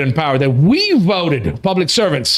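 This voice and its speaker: This man talks fairly quickly in a high pitch with an animated tone and an American accent. Noticeable background noise runs under his voice. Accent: American accent, noticeable at times. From United States. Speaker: talk show host. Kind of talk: casual chat.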